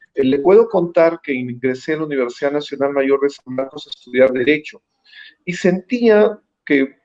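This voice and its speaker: The sound is dry and close, with no echo. A man talks at a moderate pace in a fairly high pitch. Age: 60s. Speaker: presidential candidate, lawyer. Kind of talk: interview. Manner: halting, frequent fillers.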